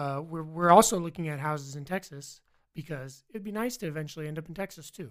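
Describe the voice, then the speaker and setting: Very fast speech in an American accent with ordinary pitch variation. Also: man, fairly high pitch for a man, big swings in loudness. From Virginia. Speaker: college student, military veteran. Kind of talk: casual interview chat.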